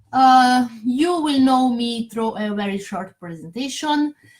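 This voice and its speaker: A high-pitched woman with a non-native accent speaks at a very slow pace. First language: not English. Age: 40s. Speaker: network marketer. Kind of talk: sales pitch. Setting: Facebook live stream. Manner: halting.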